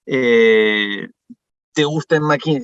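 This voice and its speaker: Heard dry and close with no echo, a man is talking. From France. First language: French (speaking Spanish). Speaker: management consultant. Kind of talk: workshop presentation. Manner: hesitant, many fillers.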